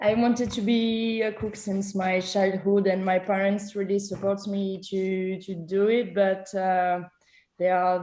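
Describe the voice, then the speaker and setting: In a French accent, a woman speaks at a medium pitch with a dark, mellow tone and a monotone, flat intonation. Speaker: chef. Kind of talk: panel discussion. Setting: video call. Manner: halting.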